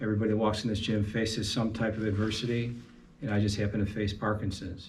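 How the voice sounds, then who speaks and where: A man's fairly low, somewhat breathy voice, very fast and monotone with flat intonation, very even loudness and audible room echo. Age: 60s. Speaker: amateur boxer with Parkinson's. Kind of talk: interview testimony. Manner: halting.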